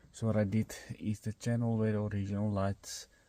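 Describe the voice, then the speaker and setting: The tone is dark and mellow, with monotone, flat intonation at a moderate pace. The recording is very clean, with a silent background. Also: man. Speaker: DIY car hobbyist. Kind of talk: tutorial.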